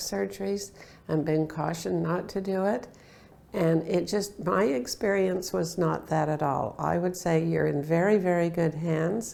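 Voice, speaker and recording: A woman's fairly low pitch with vocal fry, ordinary pitch variation and a fairly slow pace. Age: 70s. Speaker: patient. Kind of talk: testimony. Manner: hesitant with fillers.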